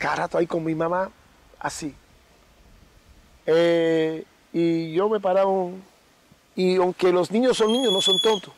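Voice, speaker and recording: A man with a high pitch pauses often and at length, with noticeable background noise behind him. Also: ordinary pitch variation. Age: 60s. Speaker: babalawo. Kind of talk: interview. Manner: halting.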